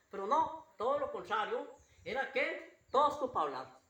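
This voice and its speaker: Audible echo from the room surrounds speech delivered at a moderate speed. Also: man. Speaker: pastor. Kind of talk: sermon. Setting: church. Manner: repetitive, halting.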